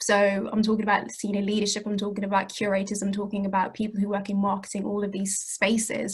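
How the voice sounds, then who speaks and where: A woman with a British accent talks at a very fast pace. Her voice is somewhat breathy. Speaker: community heritage project worker. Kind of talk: panel talk. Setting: video call.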